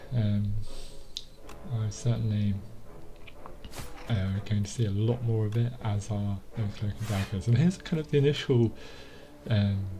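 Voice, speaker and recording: Over noticeable background noise, a man with a fairly low voice talks at a moderate pace, leaving long, frequent pauses. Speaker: gaming commentator. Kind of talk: gameplay voiceover. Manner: monotone; hesitant, many fillers.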